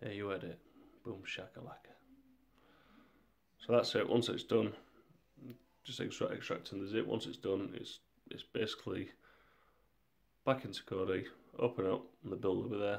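Pausing long and often, a man with a fairly low pitch and vocal fry speaks at a moderate pace with fairly even intonation and big swings in loudness. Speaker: tech tutorial youtuber. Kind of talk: tutorial. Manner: monotone.

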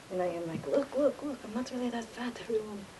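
A woman with an American accent and a fairly high pitch, over light background noise. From United States. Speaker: vlogger. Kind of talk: casual monologue. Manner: halting. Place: hall. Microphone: webcam.

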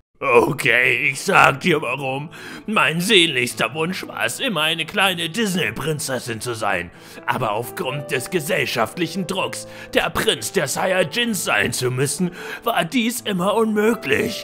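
Clear music plays in the background. A man uses a cartoonish character voice, high-pitched and fairly slow. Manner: bossy, aggressive.

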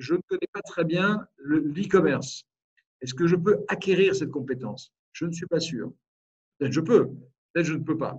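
A man's high voice at a moderate pace, ordinary pitch variation, and a quiet background. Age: 50s. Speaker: business owner and think tank president. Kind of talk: webinar presentation. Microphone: video call.

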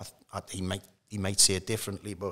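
Over a quiet background, a man with a Geordie accent has a bright, sharp tone at a fairly low pitch, in a monotone, flat intonation. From north-east England (Newcastle). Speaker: former professional footballer; guest. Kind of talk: casual interview. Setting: at the stadium bar. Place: studio. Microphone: studio mic.

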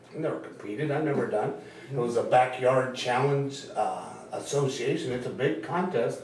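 Light background noise and audible room echo surround this recording. A man speaks at a moderate pace. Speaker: guest. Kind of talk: interview answer. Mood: relaxed, amused. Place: studio.

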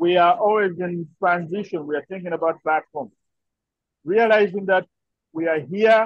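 A man's high-pitched voice at a moderate pace, ordinary pitch variation, long and frequent pauses, dry sound with no echo. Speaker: participant. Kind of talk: video call discussion. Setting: video call from workplace. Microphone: video call.

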